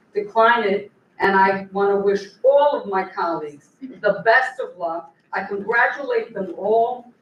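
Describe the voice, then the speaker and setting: Here is a woman with an ordinary speaking voice. Her pitch varies in an ordinary way. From New York, Puerto Rican family. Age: 60s. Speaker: lawyer. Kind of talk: convention speech.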